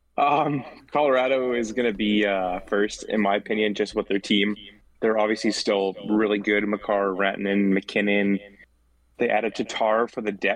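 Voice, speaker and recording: A man speaks at a moderate pace with fairly even intonation. His is an unremarkable speaking voice, fairly low in pitch. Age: 20s. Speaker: podcast host. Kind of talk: casual chat. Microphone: echo.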